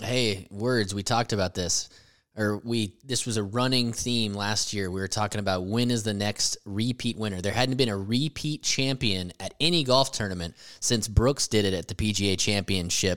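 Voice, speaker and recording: A man speaks in a fairly low voice at a moderate pace with ordinary pitch variation. The recording is very clean, with a silent background. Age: 30s. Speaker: golf podcast co-host. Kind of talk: casual chat.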